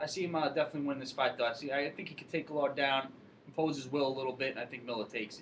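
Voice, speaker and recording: Talking at a very fast pace, a man with a slight Long Island accent uses a fairly high pitch and fairly even intonation amid noticeable background noise. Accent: slight Long Island New York. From Long Island, New York. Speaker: MMA fight pundit. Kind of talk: casual chat.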